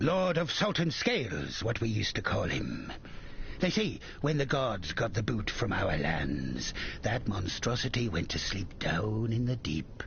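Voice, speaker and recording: A man's put-on character voice in a British accent, rumbling at medium pitch, moderate pace, clear background noise. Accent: rough British sailor, dialect "me chest". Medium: video game. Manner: coarse, profane, grumbling.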